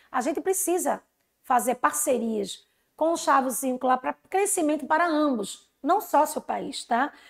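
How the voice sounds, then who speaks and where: The speech moves at a fairly slow pace with lively intonation. The recording is very clean, with a silent background. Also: woman, high pitch for a woman. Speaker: teacher. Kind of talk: lecture.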